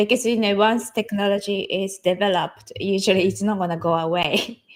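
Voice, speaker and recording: Her intonation fairly even, a woman with a Japanese accent speaks at a medium pitch. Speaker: digital artist. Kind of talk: interview. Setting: online live stream. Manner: halting, many fillers.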